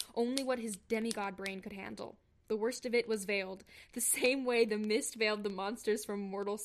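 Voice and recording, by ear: Someone reads aloud here in a natural voice.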